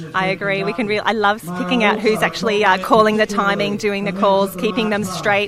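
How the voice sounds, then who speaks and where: Fairly quick speech with music in the background. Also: woman. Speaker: live stream host. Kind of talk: live event commentary. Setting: outdoors on a beach. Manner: speaking quietly; animated.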